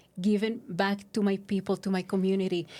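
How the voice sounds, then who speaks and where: A woman's medium-pitched voice with a dark, mellow tone and a Spanish accent, at a moderate pace, in a very clean recording with a silent background. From Mexico. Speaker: recovery services outreach worker. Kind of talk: podcast interview. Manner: halting, many fillers.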